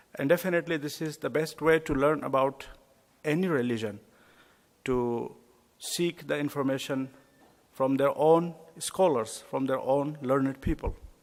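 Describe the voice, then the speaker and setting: A man with a non-native accent speaks at a moderate pace and fairly high pitch, with fairly even intonation and long, frequent pauses. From India. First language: not English. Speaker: imam. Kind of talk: lecture. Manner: hesitant, with fillers.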